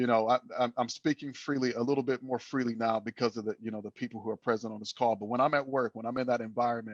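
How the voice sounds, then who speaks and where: Over a quiet background, a man talks at a very fast pace with hardly any pauses and a monotone, flat intonation, the sound dry and close with no echo. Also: medium pitch for a man. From Flint, Michigan, US. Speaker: salesperson, team member. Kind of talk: casual group discussion. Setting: video call. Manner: halting, many fillers and repetitions.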